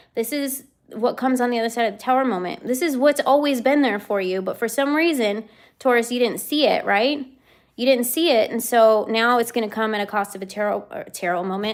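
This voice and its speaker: The recording is very clean, with a silent background. A woman speaks fairly quickly in a fairly high pitch with ordinary pitch variation. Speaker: tarot reader. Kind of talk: live stream tarot reading. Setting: live stream by the boardwalk.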